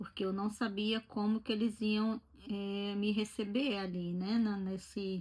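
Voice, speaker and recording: The woman has a medium pitch and a somewhat breathy voice. She speaks at a fairly slow pace with monotone, flat intonation. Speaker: vlogger. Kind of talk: casual chat. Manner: conversational.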